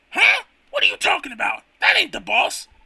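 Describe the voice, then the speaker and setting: The speaker uses a put-on character voice. The pace stays moderate. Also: extremely high pitch. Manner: sassy, quick.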